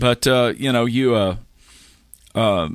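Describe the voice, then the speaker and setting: A man with a Tennessee accent, fairly slow pace and ordinary pitch variation. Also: very clean recording, silent background. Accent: Southern US (Tennessee). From Middle Tennessee (Carthage, Smith County). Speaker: guitarist. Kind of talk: casual chat. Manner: halting, with many fillers.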